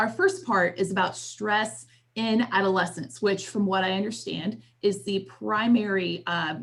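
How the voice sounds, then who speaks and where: A woman's medium-pitched voice with vocal fry, lively intonation and a fairly slow pace. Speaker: trainer. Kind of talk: lecture.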